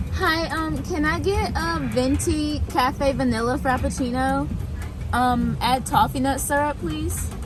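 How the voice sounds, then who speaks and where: Woman at a fairly slow pace, with audible room echo and noticeable background noise. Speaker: lifestyle vlogger. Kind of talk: casual vlog. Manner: animated.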